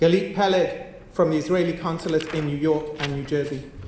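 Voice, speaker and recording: Room echo is audible as a man with a non-native accent speaks in a fairly even intonation. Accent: foreign. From outside the US. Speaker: community organization leader. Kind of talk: formal memorial speech. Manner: formal.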